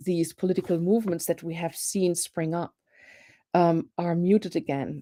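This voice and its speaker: Recorded dry and close with no echo, a woman with a German accent speaks at a fairly low pitch in a dark, mellow tone. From Germany. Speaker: professor. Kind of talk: panel discussion. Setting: live online show.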